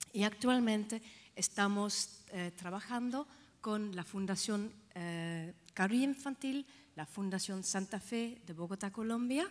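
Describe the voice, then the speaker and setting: Very slowly, a woman with a Dutch accent speaks at a medium pitch with ordinary pitch variation. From Netherlands. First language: Dutch (speaking Spanish). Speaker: healthcare organization director. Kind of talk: conference talk. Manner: halting, with fillers.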